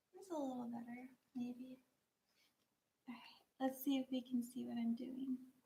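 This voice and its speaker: Soft-spoken, a woman talks with a high pitch. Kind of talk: casual talk to camera, craft livestream.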